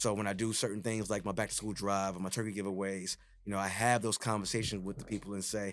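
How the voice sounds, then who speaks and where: Speaking very fast in an East Coast US accent, a man with a fairly low pitch keeps a monotone, flat intonation in a very clean recording with a silent background. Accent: non-Texan East Coast. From New York City (Jamaica, Queens). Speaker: DJ and retired radio personality. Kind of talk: podcast interview. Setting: studio.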